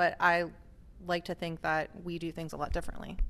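Over a quiet background, a woman with a plain, everyday voice and a medium pitch speaks at a fairly quick pace. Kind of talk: casual chat. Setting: conference between sessions.

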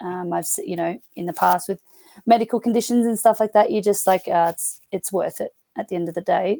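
A dark, mellow tone with an Australian accent, fairly quick pace, ordinary pitch variation and big swings in loudness, in a dry, close sound with no echo. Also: woman, medium pitch for a woman. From Australia, rural New South Wales. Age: 30s. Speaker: footballer, rugby player and school teacher. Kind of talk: casual chat.

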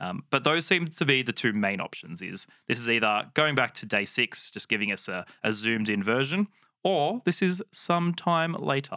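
With an Australian accent, a man speaks at a moderate pace in a bright, sharp tone with very wide pitch swings, on a very clean recording with a silent background and a dry, close sound with no echo. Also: medium pitch for a man. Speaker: Bible podcast co-host. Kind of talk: casual chat.

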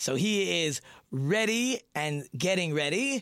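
A man's high-pitched voice with lively intonation, on a very clean recording with a silent background. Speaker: rabbi and radio host. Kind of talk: radio talk show interview. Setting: studio. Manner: loud.

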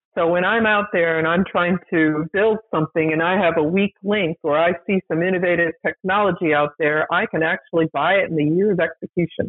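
With an American accent and a normal speaking voice, a woman with fairly low pitch talks at a fairly quick pace, hardly pausing, her loudness very even. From US, small town. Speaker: former defense acquisition official. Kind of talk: interview.

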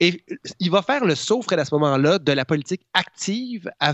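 This is a man's voice. His intonation is lively. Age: 40s. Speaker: columnist. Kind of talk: radio-style chronicle.

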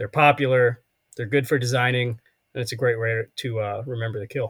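A man with a medium pitch and a somewhat breathy voice speaks at a moderate pace, the sound dry and close with no echo. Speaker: podcast host. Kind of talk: casual chat.

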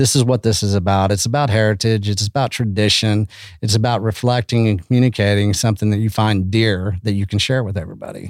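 In a very clean recording with a silent background, a man with a fairly low pitch talks at a very fast pace with hardly any pauses, fairly even intonation and very even loudness. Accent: West Texas. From Texas Panhandle (Canyon). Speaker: beef initiative founder, conference organizer. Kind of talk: casual chat.

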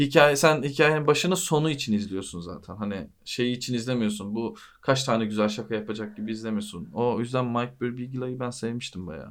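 A man speaks in an ordinary speaking voice at a medium pitch. His intonation is lively and his pace moderate. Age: 30s. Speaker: podcast host. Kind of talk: casual chat.

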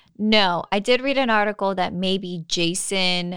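A woman with an ordinary speaking voice, fairly low in pitch and fairly slow, on a very clean recording with a silent background. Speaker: podcast co-host. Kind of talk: casual chat, recap podcast. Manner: casual, joking.

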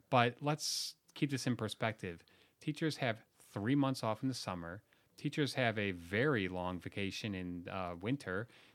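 A man uses a normal speaking voice at a fairly low pitch and a moderate pace. His intonation is lively, and the recording is very clean with a silent background. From Chicago suburbs, Illinois. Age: 30s. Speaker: policy think tank editor, former teacher. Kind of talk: panel discussion.

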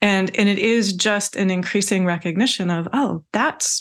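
A woman with an American accent and a plain, everyday voice speaks at a fairly slow pace with ordinary pitch variation on a very clean recording with a silent background. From Washington State, US. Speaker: meditation teacher and English professor. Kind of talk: interview about spirituality.

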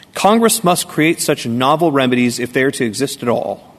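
At a fairly quick pace, a man with a fairly high pitch and lively intonation talks in an unremarkable speaking voice. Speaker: state lawyer arguing a case. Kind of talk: appellate oral argument. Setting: courtroom.

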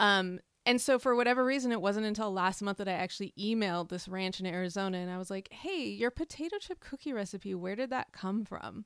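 In a very clean recording with a silent background and a dry, close sound with no echo, a woman with a normal speaking voice talks at a fairly quick pace and medium pitch, with ordinary pitch variation and hardly any pauses. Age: 40s. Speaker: food journalist and podcast host. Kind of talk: casual interview.

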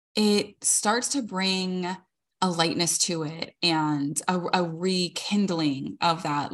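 Lively intonation marks this woman's speech. She has a plain, everyday voice at a medium pitch. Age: 40s. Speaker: podcast co-host. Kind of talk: casual chat.

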